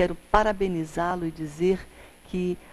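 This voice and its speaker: A woman talks fairly slowly with fairly even intonation, light background noise behind her. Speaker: TV presenter. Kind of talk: devotional address to camera. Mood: warm, celebratory. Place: studio. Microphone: lapel.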